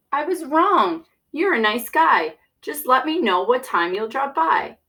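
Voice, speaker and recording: In a put-on character voice, a woman speaks fairly slowly in a cheerful tone, her high pitch making very wide swings. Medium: read story. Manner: cheerful, rhyming.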